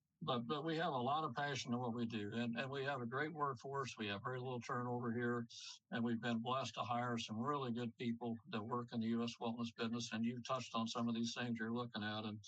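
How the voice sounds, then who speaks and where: A man speaks very fast at a medium pitch, with fairly even intonation. His loudness stays very even. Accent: American. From Missouri, US Midwest. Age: 70s. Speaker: company CEO. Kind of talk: podcast interview. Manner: repetitive, halting starts.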